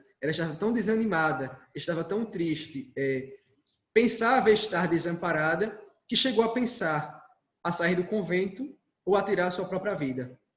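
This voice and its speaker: This man's voice sits high for a man. His intonation is lively. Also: moderate pace. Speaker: Carmelite friar giving a talk. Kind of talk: lecture.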